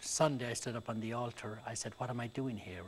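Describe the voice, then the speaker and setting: Speaking with an Irish accent, a man keeps to a moderate pace. His voice sits at medium pitch and is somewhat breathy. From rural Ireland. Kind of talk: interview.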